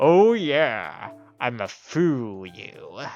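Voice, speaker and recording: Over faint background music, someone performs a put-on character voice at a middle pitch. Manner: comical, threatening in jest.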